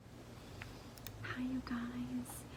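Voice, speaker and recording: A soft-spoken woman amid noticeable background noise. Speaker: ASMR creator. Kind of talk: casual chit-chat to camera, ASMR.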